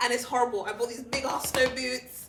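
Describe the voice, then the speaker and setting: An animated woman with a British accent and a fairly high pitch, over noticeable background noise. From England. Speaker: talk show host. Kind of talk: casual chat.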